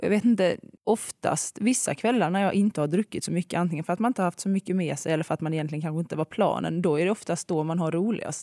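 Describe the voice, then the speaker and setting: A woman speaks very fast with hardly any pauses, her fairly low voice dark and mellow with ordinary pitch variation, recorded very cleanly against a silent background with a dry, close sound and no echo. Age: 20s. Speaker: school assistant. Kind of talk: casual chat.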